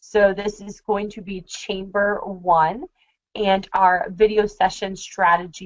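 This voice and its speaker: A woman's ordinary speaking voice, medium in pitch, fairly slow in pace, with fairly even intonation. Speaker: marketing consultant. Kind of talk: webinar. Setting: screen-share webinar.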